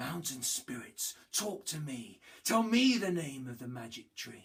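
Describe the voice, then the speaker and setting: The speaker puts on a character voice at a low-to-middle pitch. The pace is fairly slow. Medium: read story. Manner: cocky, sneering.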